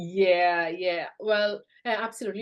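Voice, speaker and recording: Non-native accented speech from a woman. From South India. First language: not English. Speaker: business founder. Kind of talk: interview. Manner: halting, many fillers.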